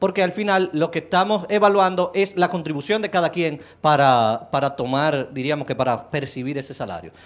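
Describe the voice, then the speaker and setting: A man's fairly high-pitched voice with lively intonation, at a moderate pace with hardly any pauses. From Dominican Republic. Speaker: political candidate; candidate. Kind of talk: political debate. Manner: halting, repeats words. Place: studio. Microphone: handheld.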